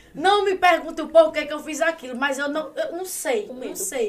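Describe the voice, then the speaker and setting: Through noticeable background noise, a woman speaks at a moderate pace with an extremely high pitch and lively intonation. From Paraíba, Brazil. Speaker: social media influencer. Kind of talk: casual chat.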